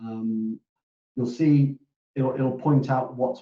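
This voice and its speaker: Quiet and at a fairly slow pace, a man with a British accent speaks at medium pitch. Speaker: operations director hosting a company webinar. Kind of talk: webinar Q&A. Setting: online webinar. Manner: hesitant, many repetitions and fillers; quiet, hard to hear.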